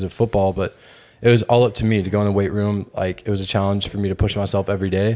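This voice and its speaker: This man's voice sits fairly low. He talks very quickly. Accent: American. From Georgia, US South. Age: 20s. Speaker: fitness content creator and podcast co-host. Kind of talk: casual chat.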